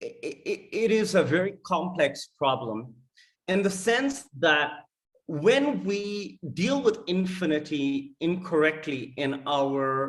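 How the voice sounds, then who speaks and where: This man talks with a non-native accent at a high pitch. His pitch swings very widely. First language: not English. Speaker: data scientist presenting research. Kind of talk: conference talk. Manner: halting with many fillers.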